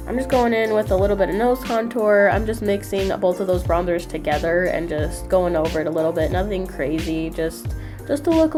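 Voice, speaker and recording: A woman talks at a fairly quick pace with hardly any pauses. Music can be heard in the background. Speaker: beauty vlogger. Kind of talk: casual talk to camera.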